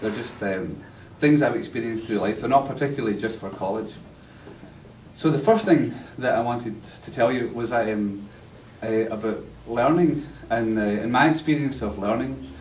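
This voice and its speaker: In a strong Glasgow accent, a man talks at a moderate pace with ordinary pitch variation and long, frequent pauses, amid audible room echo and light background noise. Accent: strong Glaswegian Scottish. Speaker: university lecturer. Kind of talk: lecture. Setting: church class with live audience. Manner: humorous, storytelling. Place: classroom. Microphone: camera far.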